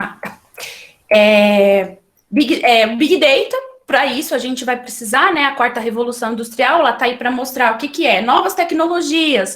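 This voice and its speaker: A woman's high pitch and lively intonation at a fairly slow pace, with audible room echo. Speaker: librarian giving a talk. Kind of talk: lecture. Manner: halting, many fillers and restarts.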